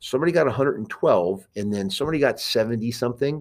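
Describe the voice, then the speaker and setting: Vocal fry runs through this speech in an American accent. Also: man. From New York (Queens). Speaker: school board member and Marine veteran. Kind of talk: podcast interview.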